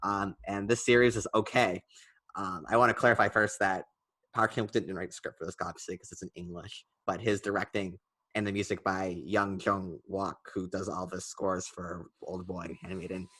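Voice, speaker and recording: Recorded dry and close with no echo in a quiet setting, a man with a fairly low pitch speaks in a bright, sharp tone, his intonation fairly even but his loudness swinging widely. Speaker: film podcast co-host. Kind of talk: casual chat. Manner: fast; hesitant, many fillers.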